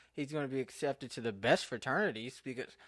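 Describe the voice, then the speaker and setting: A man with an American accent is mumbling. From Eastern Kentucky. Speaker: podcaster. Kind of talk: casual monologue podcast. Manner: halting, self-correcting.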